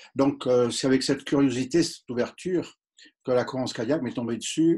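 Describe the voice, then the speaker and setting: A man with a Marseille accent speaks at a medium pitch against a quiet background. His pitch varies in an ordinary way. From southern France. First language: English (speaking French). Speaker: doctor. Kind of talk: interview. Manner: hesitant, many fillers.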